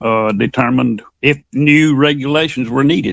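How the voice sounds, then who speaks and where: In a Southern US accent, a man with a fairly high pitch speaks at a fairly slow pace, the sound dry and close with no echo. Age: 60s. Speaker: fiction writer. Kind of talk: interview.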